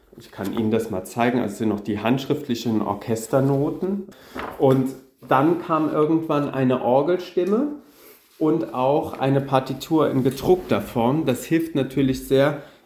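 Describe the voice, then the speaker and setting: A man with a plain, everyday voice, fairly slow, with ordinary pitch variation. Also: medium pitch for a man. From Saarland, Germany. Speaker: concert organist. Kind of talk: interview.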